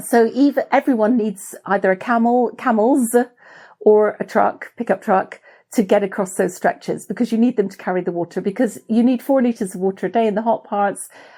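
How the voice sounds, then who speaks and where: On a very clean recording with a silent background, a woman with a British accent speaks at a fairly quick pace and fairly high pitch, with a dark, mellow tone and ordinary pitch variation. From Britain. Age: 60s. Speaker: explorer and adventurer. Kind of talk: interview.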